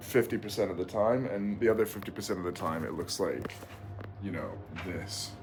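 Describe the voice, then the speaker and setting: Noticeable background noise sits behind a man's fairly low voice. He speaks at a moderate pace. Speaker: vlogger and rower. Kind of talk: casual vlog. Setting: at home.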